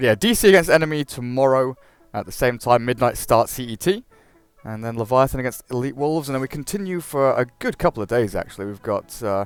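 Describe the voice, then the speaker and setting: A man with an English accent talks at a very fast pace in a medium-pitched voice with lively intonation. His loudness swings widely, and the sound is dry and close with no echo. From England. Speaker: esports caster. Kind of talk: live commentary.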